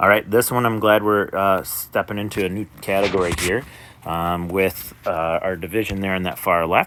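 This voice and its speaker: A man speaks at a moderate pace with fairly low pitch and fairly even intonation. He has an unremarkable speaking voice. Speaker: math teacher. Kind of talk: tutorial.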